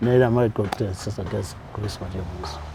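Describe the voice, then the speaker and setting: Noticeable background noise around a man speaking at a moderate pace. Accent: Ugandan. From Uganda, Kanungu district. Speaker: nonprofit founder. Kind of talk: interview.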